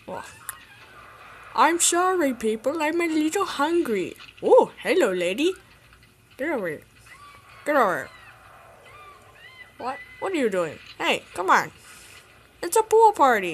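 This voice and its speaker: Using a put-on character voice, this high-pitched speaker moves at a moderate pace with very wide pitch swings and long, frequent pauses. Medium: dub. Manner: comedic, exasperated.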